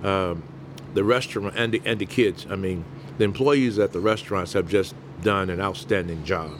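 Over noticeable background noise, a man with a Southern US accent and a fairly low pitch speaks at a moderate pace with ordinary pitch variation. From US South, Mobile, Alabama. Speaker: restaurant owner. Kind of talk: interview.

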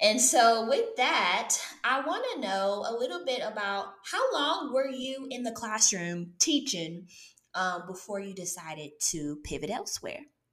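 Amid audible room echo, a woman speaks at a fairly slow pace with a fairly high pitch and very wide pitch swings. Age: 30s. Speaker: podcast host, former teacher. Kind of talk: interview. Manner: animated.

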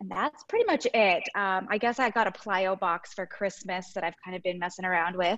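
A woman's normal speaking voice at a medium pitch, fairly quick in pace with hardly any pauses and ordinary pitch variation. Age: 30s. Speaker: registered nurse and home fitness coach. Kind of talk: casual interview.

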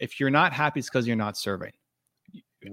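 A man's voice with ordinary pitch variation, in a very clean recording with a silent background. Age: 40s. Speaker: entrepreneur and author. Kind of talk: interview.

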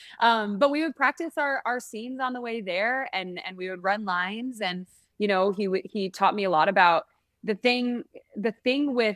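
A woman speaks with a plain, everyday voice in an American accent, her pitch in the medium range. She talks at a moderate pace with ordinary pitch variation. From San Francisco, US. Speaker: singer and actress. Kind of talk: interview.

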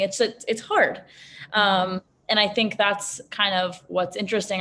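A woman with an American accent speaks at a fairly quick pace in a plain, everyday voice, her intonation fairly even. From US Northeast, Manhattan, New York City. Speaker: beverage company founder. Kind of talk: interview conversation.

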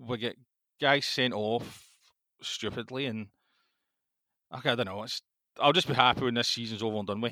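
A man's medium-pitched voice, bright and sharp in tone, at a moderate pace with fairly even intonation and long, frequent pauses, on a very clean recording against a silent background. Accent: Scottish. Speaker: football podcast co-host. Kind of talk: casual chat.

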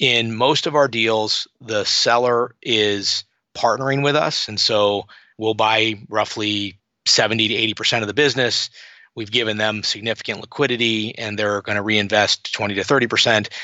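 An ordinary speaking voice from a man at medium pitch, with fairly even intonation and a moderate pace. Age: 50s. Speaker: private equity investor and author. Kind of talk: interview. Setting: podcast.

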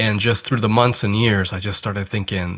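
A man speaks with an American accent at a fairly low pitch, with fairly even intonation and a bright, sharp tone. The recording is very clean, with a silent background. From US, Korean American family. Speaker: hospital chaplain and author. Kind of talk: interview conversation.

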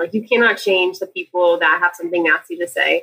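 A woman at a very fast pace, medium in pitch, with lively intonation and a bright, sharp tone. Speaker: best friend acting as guest interviewer. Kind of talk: casual interview chat.

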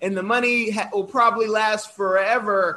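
This man has an extremely high pitch and an American accent. He speaks at a fairly slow pace in an animated tone. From Oakland, California. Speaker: podcast host. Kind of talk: interview.

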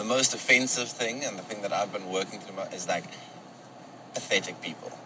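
Against noticeable background noise, a man talks with a South African accent. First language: Afrikaans. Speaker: guest commentator. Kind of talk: casual commentary. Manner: halting.

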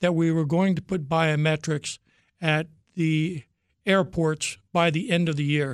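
A man with a plain, everyday voice talks at a fairly slow pace and fairly high pitch, in a dry, close sound with no echo on a very clean recording with a silent background. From Virginia, US. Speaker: former government executive. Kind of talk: interview.

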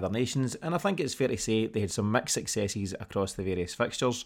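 Someone talks at a very fast pace with a Scottish accent. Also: man, very clean recording, silent background. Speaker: podcast host. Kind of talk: casual sports podcast bulletin. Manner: conversational, slightly hesitant with fillers.

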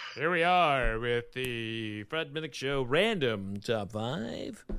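Using a put-on character voice, a man speaks at a very slow pace in a medium pitch. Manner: smooth, polished broadcast delivery.

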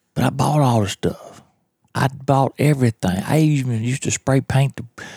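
In a Mississippi accent, a man talks at a moderate pace with ordinary pitch variation. The very clean recording has a silent background and a dry, close sound with no echo. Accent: Southern US (Mississippi). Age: 40s. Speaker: podcast host, turkey hunter. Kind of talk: casual monologue. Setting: at home in his trailer. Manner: kept down, quieter.

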